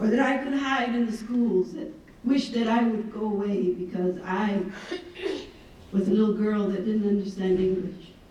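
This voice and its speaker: At a moderate pace, a woman with a fairly high pitch and ordinary pitch variation speaks over noticeable background noise and audible room echo. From Laredo, Texas (US–Mexico border). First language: Spanish. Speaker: keynote speaker. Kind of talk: motivational keynote speech. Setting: conference stage with audience.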